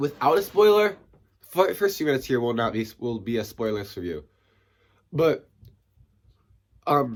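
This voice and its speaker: This man talks at a moderate pace in a medium pitch, his pitch swinging very widely, with long, frequent pauses. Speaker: movie reviewer. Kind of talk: casual video review. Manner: animated, excited; halting, many fillers.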